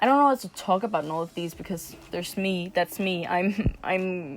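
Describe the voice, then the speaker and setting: With a non-native accent, a woman speaks at a medium pitch. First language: not English. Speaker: amateur digital artist, vlogger. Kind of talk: casual voiceover commentary. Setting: at another house, not home. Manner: hesitant, many fillers.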